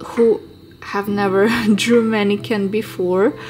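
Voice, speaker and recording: Woman with a non-native accent, fairly high pitch and ordinary pitch variation, music in the background. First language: not English. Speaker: fashion designer, drawing teacher. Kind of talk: tutorial. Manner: halting, with fillers.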